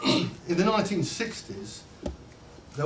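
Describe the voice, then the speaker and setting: A man's voice with very wide pitch swings amid noticeable background noise. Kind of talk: public speech to an audience.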